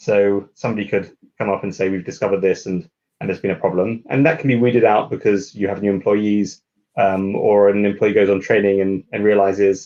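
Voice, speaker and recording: At a fairly quick pace, a man talks in a fairly low, dark, mellow voice. His intonation stays fairly even. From UK. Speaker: lawyer. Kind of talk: interview. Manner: halting, many fillers.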